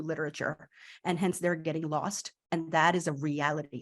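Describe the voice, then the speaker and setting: A woman speaks in an animated tone over a quiet background. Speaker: literacy educator. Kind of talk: conference talk to teachers.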